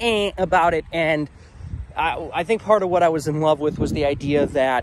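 Over noticeable background noise, a man speaks at a moderate pace with ordinary pitch variation in a dry sound with no echo. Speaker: vlogger. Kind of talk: casual vlog chat. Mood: sad, reflective. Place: open country. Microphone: phone near.

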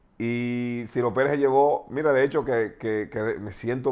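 A man's unremarkable speaking voice at medium pitch, with fairly even intonation. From Dominican Republic, San Cristóbal province; Dominican Republic. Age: 40s. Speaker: former basketball player; interviewee. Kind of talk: interview, personal life story; interview answer. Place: studio.

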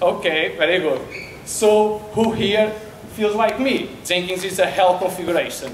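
A man with a Portuguese accent talks at a fairly slow pace with ordinary pitch variation, amid light background noise and audible room echo. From Portugal, Porto. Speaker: software developer. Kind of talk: conference talk. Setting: stage with audience. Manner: halting. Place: hall. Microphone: handheld.

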